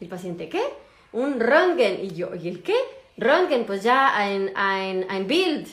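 In a Mexican accent, a woman speaks very slowly at medium pitch, with noticeable background noise and audible room echo. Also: lively intonation. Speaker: doctor. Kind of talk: casual chat. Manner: hesitant.

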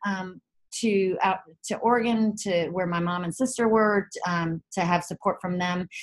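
Female speaker with a slight Southern US accent, somewhat breathy, at a moderate pace. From Chapel Hill, North Carolina, US South. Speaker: author and wellness CEO. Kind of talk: casual interview.

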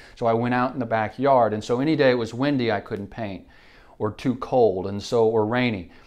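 A man with an American accent speaks at a fairly quick pace in a plain, everyday voice, his pitch medium and his intonation fairly even. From Oklahoma, Enid. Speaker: barista and small business owner. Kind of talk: casual chat.

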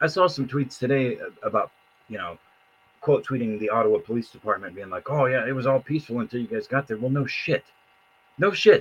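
Somewhat breathy, a man talks at a fairly quick pace with lively intonation, broken by long, frequent pauses. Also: medium pitch for a man. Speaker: podcast co-host / commentator. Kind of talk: casual chat. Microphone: bad audio, sounds underwater.

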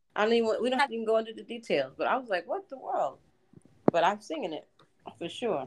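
A woman speaks at a fairly quick pace but with long, frequent pauses, her fairly high pitch swinging very widely and edged with vocal fry. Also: big swings in loudness. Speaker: podcast co-host. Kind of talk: casual chat. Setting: video call.

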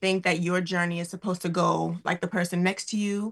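A somewhat breathy woman's voice of medium pitch, monotone and flat, at a fairly quick pace against a quiet background. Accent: American. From New York City (Queens). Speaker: Broadway actress. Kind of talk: interview.

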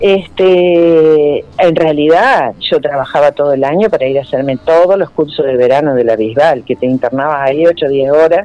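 A woman with a very deep, low pitch talks at a moderate pace with ordinary pitch variation. She leaves hardly any pauses. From Santa Fe, Argentina. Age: 60s. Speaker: ceramicist and art school director. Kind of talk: radio interview.

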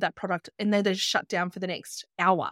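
An Australian-accented woman in a dry, close sound with no echo. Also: very clean recording, silent background. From Australia, Byron Shire, New South Wales. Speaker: travel business owner and podcaster. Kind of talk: casual interview.

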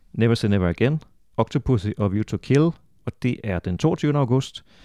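A man's medium-pitched voice with a dark, mellow tone, moderate pace and ordinary pitch variation, in a dry, close sound with no echo on a very clean recording with a silent background. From Denmark, Funen. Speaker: podcast host, author and translator. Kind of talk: casual chat; scripted intro.

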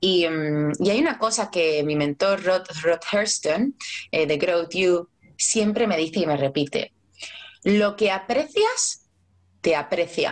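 A woman at a very slow pace, with lively intonation and very even loudness. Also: medium pitch for a woman. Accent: strong Andalusian. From Cádiz, southern Spain. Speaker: life coach. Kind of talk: casual chat.

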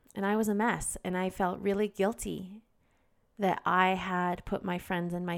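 On a very clean recording with a silent background, a woman with an unremarkable speaking voice talks at a moderate pace in a fairly low pitch with fairly even intonation. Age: 30s. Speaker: podcast host. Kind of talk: solo self-help talk. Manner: candid, occasionally emotional.

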